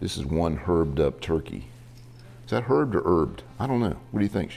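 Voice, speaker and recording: Using vocal fry, a man with a very deep, low voice talks at a fairly quick pace with very wide pitch swings. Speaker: cooking show host, lawyer. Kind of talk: cooking tutorial. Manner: animated.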